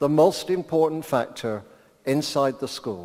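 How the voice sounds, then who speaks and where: With an English accent, a man speaks at a fairly slow pace in a fairly high, dark, mellow voice with lively intonation. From England. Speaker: education professor. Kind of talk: keynote lecture. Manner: slower than usual.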